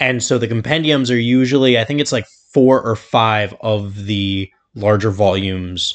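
This man speaks at a moderate pace in a fairly low voice, with ordinary pitch variation. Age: 20s. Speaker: comic book podcaster. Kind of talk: casual chat.

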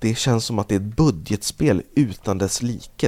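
A man's medium-pitched voice, dark and mellow in tone, with ordinary pitch variation and a moderate pace. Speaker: video game podcast co-host. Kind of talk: casual chat. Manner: yawning.

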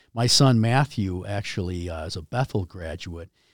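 A man's normal speaking voice, fairly low in pitch with ordinary pitch variation, very clean and dry with no echo and a silent background. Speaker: hockey jersey manufacturer, company founder. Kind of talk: casual interview chat. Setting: studio.

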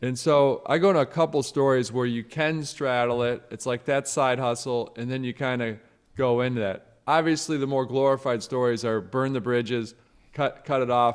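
At a moderate pace, a man with a US Midwestern accent speaks with fairly even intonation against a quiet background. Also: medium pitch for a man. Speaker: author and motivational speaker. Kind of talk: interview.

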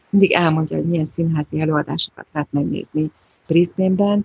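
Somewhat breathy, a woman speaks with fairly low pitch and fairly even intonation. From Hungary, Budapest. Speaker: Hungarian emigrant, volunteer shop worker and community school teacher. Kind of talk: casual interview chat. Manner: repeats words, hesitant.

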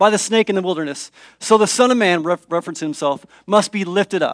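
Plain reading aloud is what this is. Ordinary pitch variation runs through it.

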